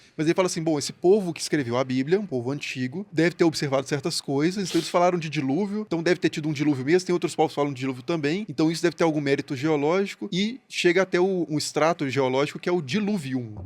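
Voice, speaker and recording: A man talks at a very fast pace in a Minas Gerais accent, with hardly any pauses. His pitch is fairly high for a man, with ordinary pitch variation. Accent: Mineiro (Minas Gerais) Brazilian Portuguese. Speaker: historian. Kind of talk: podcast discussion. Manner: polite, gentle manner of speaking.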